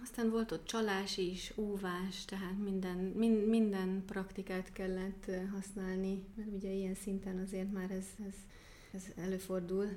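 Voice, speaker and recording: A woman with a German accent speaks at a moderate pace in a medium pitch. Her intonation is flat and monotone, with audible room echo and noticeable background noise. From Germany (Baden-Württemberg, near Stuttgart). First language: German (speaking Hungarian). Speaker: archery coach and nature photographer. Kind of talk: interview. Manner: hesitant with many fillers.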